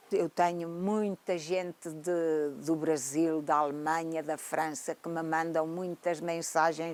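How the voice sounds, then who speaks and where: With a dark, mellow tone and a fairly low pitch, a woman speaks at a very slow pace. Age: 70s. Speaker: grandmother and social media personality. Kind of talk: testimony.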